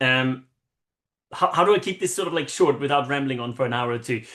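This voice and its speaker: With an Austrian accent, a man speaks at a fairly high pitch. His tone is bright and sharp. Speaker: marketing consultant. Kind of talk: interview. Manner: animated.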